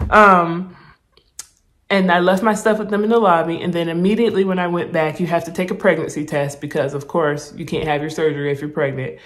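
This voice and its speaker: Audible room echo follows a woman speaking at a fairly low pitch in an animated tone with ordinary pitch variation. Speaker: vlogger documenting weight loss surgery. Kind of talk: casual vlog storytelling. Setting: hospital room. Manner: animated, casual; quiet, hushed in hospital clip.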